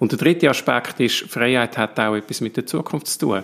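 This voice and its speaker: A man's medium-pitched voice, an ordinary speaking voice, at a fairly quick pace in a very clean recording with a silent background. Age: 40s. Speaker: politician and ethicist. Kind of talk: interview.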